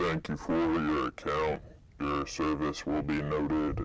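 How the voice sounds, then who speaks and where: At a moderate pace, a man uses a raspy, put-on character voice with a very deep, low pitch. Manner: formal, flat.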